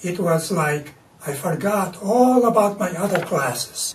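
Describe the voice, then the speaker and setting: Over noticeable background noise, a man talks with a Latvian accent. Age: 80s+. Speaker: artist. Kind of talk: interview. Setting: artist's studio.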